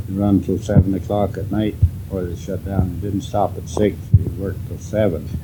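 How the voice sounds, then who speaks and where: Music plays in the background as the voice holds a monotone, flat intonation at a moderate pace. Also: man, very deep, low pitch for a man. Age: 80s+. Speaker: farmer. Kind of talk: interview answer. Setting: home.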